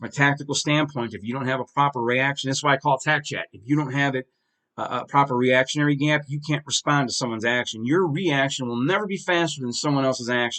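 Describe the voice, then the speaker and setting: A man speaks at a very fast pace with an animated tone. His pitch sits fairly high. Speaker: video podcast host. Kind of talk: casual commentary monologue.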